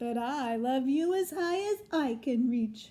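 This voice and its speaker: A woman's put-on character voice, high in pitch and at a fairly slow pace. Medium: read story. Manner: gentle, warm.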